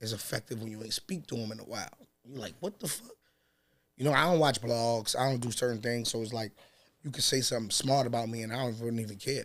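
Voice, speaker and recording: Delivered at a very fast pace with ordinary pitch variation, the voice carries an American accent. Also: man. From New York City, Harlem; New York City. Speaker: battle rapper; podcast guest. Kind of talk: casual chat. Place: studio. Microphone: studio mic.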